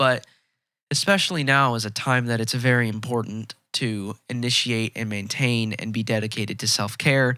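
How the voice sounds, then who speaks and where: Bright and sharp in tone, a man speaks at medium pitch and a moderate pace with fairly even intonation. The recording is very clean, the background silent. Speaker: podcast host. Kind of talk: casual monologue.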